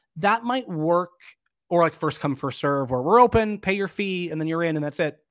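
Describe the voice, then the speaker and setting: A man's high-pitched voice at a moderate pace, with lively intonation, on a very clean recording with a silent background. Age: 30s. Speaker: actor and arts festival director. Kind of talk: interview.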